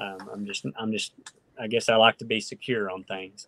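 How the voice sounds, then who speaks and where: A man speaks at medium pitch in a rural Oklahoma accent. The sound is dry with no echo. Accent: Oklahoma rural Southern-Midwestern. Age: 30s. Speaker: professional bass angler. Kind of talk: casual interview chat. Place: home room. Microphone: video call.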